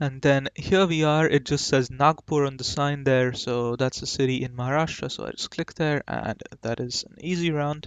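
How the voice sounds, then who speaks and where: Keeping a moderate pace, a man talks with hardly any pauses. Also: fairly high pitch for a man, big swings in loudness. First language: Marathi. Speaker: gaming YouTuber. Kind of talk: gameplay commentary. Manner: casual, hesitant with fillers.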